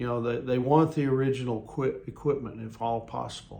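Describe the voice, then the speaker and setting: The speech moves at a moderate pace with ordinary pitch variation. Audible room echo can be heard. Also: man. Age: 60s. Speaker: lay preacher. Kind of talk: devotional talk. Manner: halting, many fillers.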